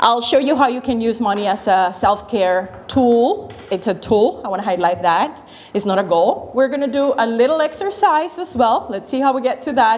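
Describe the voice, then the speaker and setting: A woman with a Spanish accent, lively intonation and hardly any pauses, over noticeable background noise. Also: fairly high pitch for a woman, moderate pace. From Venezuela. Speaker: financial educator. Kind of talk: workshop talk.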